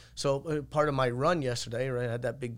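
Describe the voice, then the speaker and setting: The speaker has an Irish accent. The words come at a fairly quick pace. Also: man. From Ireland. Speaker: martial arts coach and gym owner. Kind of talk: casual chat.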